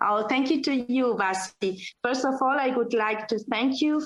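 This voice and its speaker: This woman talks at a moderate pace. She has a Spanish accent. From Argentina. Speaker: pet fashion designer. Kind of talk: podcast interview.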